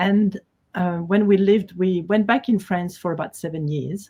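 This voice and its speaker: Somewhat breathy, a woman speaks in a French accent with a dark, mellow tone. Her intonation is fairly even and her pace moderate. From Switzerland, Geneva (French-speaking). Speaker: quilt designer. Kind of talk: interview.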